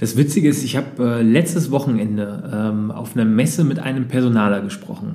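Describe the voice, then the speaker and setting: A man at medium pitch speaks at a fairly quick pace with lively intonation and hardly any pauses. There is audible room echo. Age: 30s. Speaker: podcast host, entrepreneur. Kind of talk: interview. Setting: coworking space.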